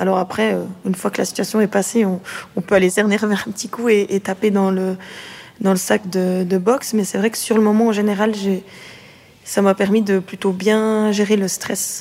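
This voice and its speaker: Long, frequent pauses break up a woman's flat, monotone delivery at a medium pitch. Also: moderate pace. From Switzerland, Neuchâtel area. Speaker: boxer. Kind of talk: interview.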